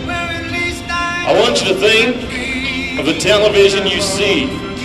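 A man speaks over loud music in the background. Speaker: rodeo announcer. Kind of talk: patriotic address to arena crowd. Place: stadium.

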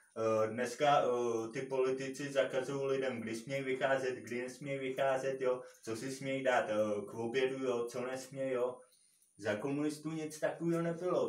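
With audible room echo, a man speaks at a moderate pace using fairly even intonation. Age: 30s. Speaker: YouTuber. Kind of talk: opinion monologue. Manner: halting, many fillers. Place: empty room. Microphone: camera far.

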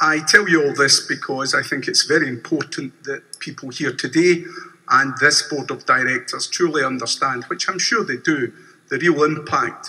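He talks in a Glaswegian accent. The man's pace is moderate. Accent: Glaswegian Scottish. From Scotland, Glasgow. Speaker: bank customer and protester. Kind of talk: shareholder meeting statement. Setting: convention hall meeting. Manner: formal. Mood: earnest, measured protest. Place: hall. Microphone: podium.

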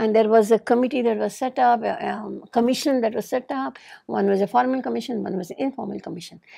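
A woman's fairly high voice at a very fast pace, with hardly any pauses, big swings in loudness and ordinary pitch variation, over a quiet background. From India. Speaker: lawyer and activist; interviewee, women's rights lawyer. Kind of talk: oral history interview. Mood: earnest, explanatory. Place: studio. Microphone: lapel.

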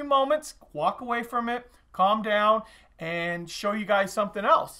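A man speaks in a raised, projected voice with a bright, sharp tone. The background is quiet. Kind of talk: casual product showcase vlog. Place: shop. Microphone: camera far.

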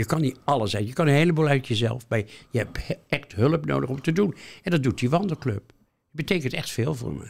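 At a fairly quick pace, a man speaks at medium pitch with vocal fry and lively intonation. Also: big swings in loudness. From Netherlands, Rotterdam. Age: 80s+. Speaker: retired museum worker. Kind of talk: interview. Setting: studio.

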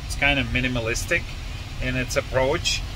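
There is noticeable background noise as a man speaks. The sound itself is dry with no echo. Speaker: car test driver vlogger. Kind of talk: casual vlog chat. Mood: pleased, amused. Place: car. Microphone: phone near.

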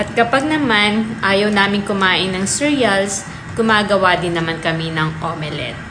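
The speech moves at a fairly slow pace with ordinary pitch variation. Audible room echo and noticeable background noise are present. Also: woman. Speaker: lifestyle vlogger. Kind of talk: vlog narration. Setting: outdoors.

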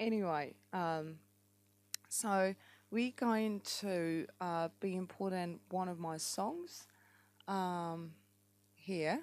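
With a strong New Zealand accent, a woman speaks at a very slow pace in a medium pitch with ordinary pitch variation, leaving long, frequent pauses, on a very clean recording with a silent background. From France. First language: French. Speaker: app tutorial maker and amateur musician. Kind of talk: tutorial. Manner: hesitant, many fillers.

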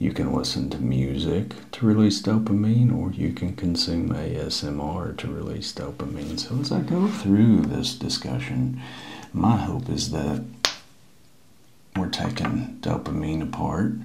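Over music in the background, a soft-spoken voice moves at a fairly slow pace with very wide pitch swings. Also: man, fairly low pitch for a man. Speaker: ASMR creator. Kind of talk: ASMR science talk. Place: home room. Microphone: lapel.

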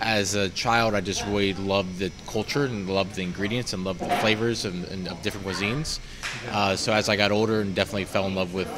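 A man speaks at a very fast pace with a fairly low pitch and fairly even intonation. Noticeable background noise sits behind him. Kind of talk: interview answer. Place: cafe.

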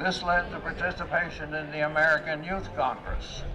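A man speaking at a moderate pace over noticeable background noise. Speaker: activist. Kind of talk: public speech at a rally. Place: street. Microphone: podium.

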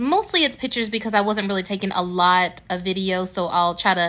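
Her bright, sharp tone comes with ordinary pitch variation as the woman speaks. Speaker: family vlogger. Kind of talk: casual vlog chat. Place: home room. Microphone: phone near.

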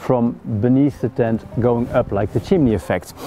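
A man's voice at a moderate pace, dry with no echo, over faint background music. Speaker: outdoor gear reviewer. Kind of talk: gear review tutorial. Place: forest.

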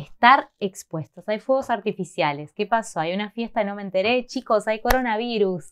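Over a quiet background, a woman with an Argentine accent speaks at a moderate pace and a fairly high pitch in an animated tone. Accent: Argentine Spanish (Rioplatense, voseo). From Argentina. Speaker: Spanish teacher, video host. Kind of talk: tutorial. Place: home room.

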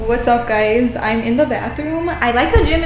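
With audible room echo and light background noise, a woman speaks in a high pitch that varies in an ordinary way. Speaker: fitness vlogger. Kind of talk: casual vlog chat. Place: bathroom. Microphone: phone near.

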